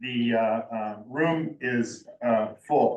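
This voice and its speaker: A man with fairly even intonation. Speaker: resident commenter at community meeting. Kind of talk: public comment. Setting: seated at community meeting. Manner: halting.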